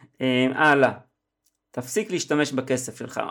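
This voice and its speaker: On a very clean recording with a silent background, a man of medium pitch talks at a moderate pace. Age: 50s. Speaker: copywriter and podcast host. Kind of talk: solo podcast analysis of an advertisement.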